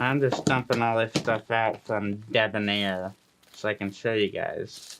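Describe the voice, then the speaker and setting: A man's medium-pitched voice with fairly even intonation amid noticeable background noise. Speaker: beard product reviewer. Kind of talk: product unboxing review. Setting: home studio. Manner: slurred, hard to understand.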